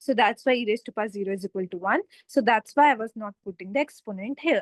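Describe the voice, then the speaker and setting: With an Indian accent, a woman speaks at a very fast pace in a fairly high pitch. Her pitch variation is ordinary, and the sound is dry and close with no echo. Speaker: tutor. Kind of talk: online tutorial.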